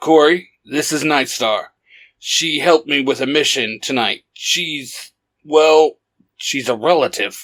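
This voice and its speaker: In a put-on character voice, a man speaks fairly high and fairly slowly with ordinary pitch variation in a very clean recording with a silent background. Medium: read story.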